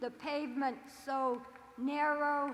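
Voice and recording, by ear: A woman talks slowly at a high pitch, with little pitch movement. Audible room echo surrounds her voice.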